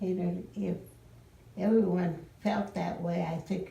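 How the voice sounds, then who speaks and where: A woman's fairly low voice is heard over noticeable background noise. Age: 80s+. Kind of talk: interview answer.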